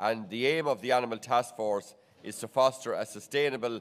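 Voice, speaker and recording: A man's medium-pitched voice with an Irish accent and fairly even intonation. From Ireland. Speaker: agricultural research director and seminar chair. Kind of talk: conference opening remarks. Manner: halting, many fillers and repetitions.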